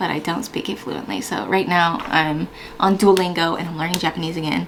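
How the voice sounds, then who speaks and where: Talking at a very fast pace with lively intonation, a woman with an American accent is heard over noticeable background noise. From US Pacific Northwest (Washington). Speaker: Air Force firefighter and YouTuber. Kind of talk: casual Q&A vlog. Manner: casual, chatty.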